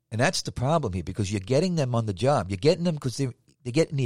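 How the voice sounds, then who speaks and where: Speaking very fast with very wide pitch swings and a somewhat breathy sound, the voice is recorded dry and close with no echo on a very clean, silent background. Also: man. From New York City (Manhattan, Staten Island). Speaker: podcast host, former police officer. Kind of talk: casual monologue. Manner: animated.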